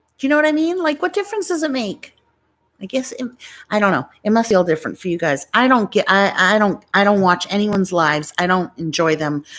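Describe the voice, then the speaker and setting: Speaking at a fairly quick pace, a woman with an American accent makes very wide pitch swings. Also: medium pitch for a woman, very clean recording, silent background. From New York. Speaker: YouTuber. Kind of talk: casual live stream chat. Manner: chatty, rambling. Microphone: good microphone.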